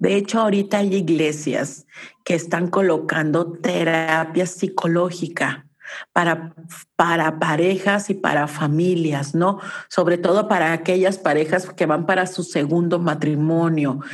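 Her voice is a plain, everyday voice, fairly low in pitch for a woman with fairly even intonation. She talks at a fairly slow pace with very even loudness. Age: 50s. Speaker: family constellation therapist. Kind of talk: casual interview.

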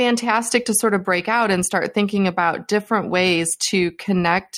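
On a very clean recording with a silent background, a woman in an ordinary speaking voice talks at a moderate pace with fairly even intonation. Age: 50s. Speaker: HR tech analyst and podcaster. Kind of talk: casual interview chat.

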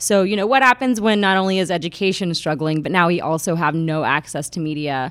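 Delivered at a very fast pace with hardly any pauses, the speech has lively intonation. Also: woman, fairly low pitch for a woman. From Atlanta, Georgia, US South. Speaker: documentary photographer. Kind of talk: casual interview chat.

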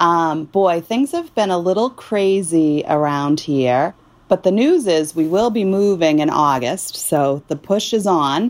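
A woman with an American accent, fairly low pitch and lively intonation, fairly slow with hardly any pauses and very even loudness, in a very clean recording with a silent background. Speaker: mother moving house, real estate worker. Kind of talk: casual chat.

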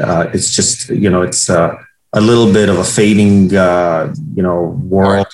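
At a fairly slow pace, a man speaks at a fairly low pitch with ordinary pitch variation. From abroad, outside the US. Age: 40s. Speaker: real estate company CEO. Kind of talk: interview. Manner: halting, many fillers.

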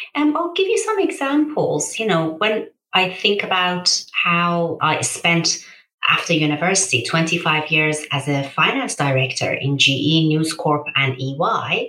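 A woman with a Persian accent speaks at a fairly slow pace. Her loudness stays very even. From Iran, then Birmingham from age 13. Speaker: charity founder and CEO. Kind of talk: interview.

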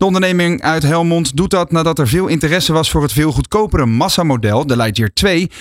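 Here is a man with a normal speaking voice. His intonation is lively and his pace fairly quick. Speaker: radio co-host. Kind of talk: radio talk show. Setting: studio.

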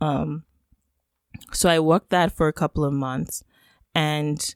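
A woman with a Yoruba accent, very deep and low in pitch, with fairly even intonation and a dry, close sound with no echo. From Nigeria (Lagos). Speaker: economist and podcaster. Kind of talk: interview conversation. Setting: remote call.

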